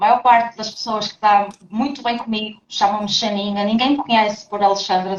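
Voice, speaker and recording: A woman is speaking with a European Portuguese accent. Her pace is moderate. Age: 30s. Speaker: trainer and people manager. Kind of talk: podcast interview. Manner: animated.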